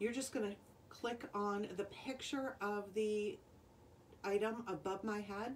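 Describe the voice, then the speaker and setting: A woman at a fairly slow pace with ordinary pitch variation and light background noise. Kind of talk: live sales stream talk. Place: home room. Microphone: phone near.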